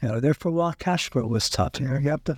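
A man with a western Pennsylvania accent and a fairly high, somewhat breathy voice is captured in a very clean recording with a silent background and a dry, close sound with no echo. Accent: western Pennsylvania American. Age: 60s. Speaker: wholesale business owner. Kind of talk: interview.

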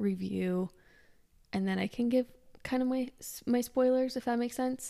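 In a very clean recording with a silent background, a woman with an ordinary speaking voice shows ordinary pitch variation. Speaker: podcast host. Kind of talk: casual chat.

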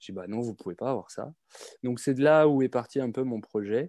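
This man's voice has a dark, mellow tone and ordinary pitch variation at a moderate pace. The sound is dry and close, with no echo. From France, Reims (Champagne). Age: 30s. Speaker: aspiring champagne importer, logistics worker. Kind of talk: live webinar Q&A.

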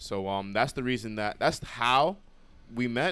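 A man with a New York accent speaks in a fairly low pitch with a bright, sharp tone. His pitch variation is ordinary, and the recording is very clean with a silent background. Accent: New York City. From New York City (Brooklyn, Bronx). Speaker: podcast co-host, college student. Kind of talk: casual chat.

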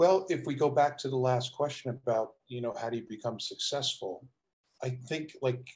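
A man with an American accent talks at a medium pitch and a moderate pace, somewhat breathy, with ordinary pitch variation. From South Jersey, near Philadelphia. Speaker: basketball coach and executive. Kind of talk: interview.

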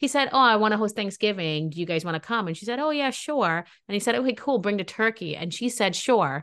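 Speaking at a very fast pace over a quiet background, a woman uses lively intonation and an animated tone. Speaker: podcast host. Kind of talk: casual chat.

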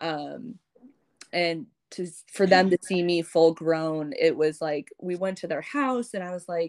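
In a very clean recording with a silent background, dry and close with no echo, a woman with a fairly low pitch and an unremarkable speaking voice shows ordinary pitch variation and big swings in loudness. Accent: American. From US Midwest, St. Louis. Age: 20s. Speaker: adoptee sharing her story. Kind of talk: casual interview.

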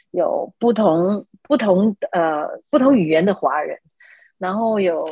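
A woman's fairly high voice with very wide pitch swings, on a very clean recording with a silent background. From Malaysia. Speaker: architect. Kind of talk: interview.

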